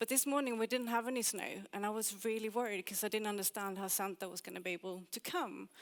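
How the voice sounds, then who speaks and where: With a slight Swedish accent, a woman speaks at a very fast pace with hardly any pauses, a fairly high pitch, and ordinary pitch variation. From Sweden. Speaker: UX designer and conference speaker. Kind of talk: conference talk.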